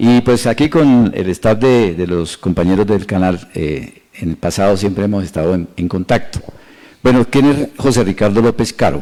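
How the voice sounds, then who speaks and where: The man's pitch is fairly low and his tone is dark and mellow. His intonation is lively. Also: moderate pace. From Colombia, Boyacá and Tolima. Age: 60s. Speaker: mayoral candidate. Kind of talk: interview. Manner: halting, many fillers.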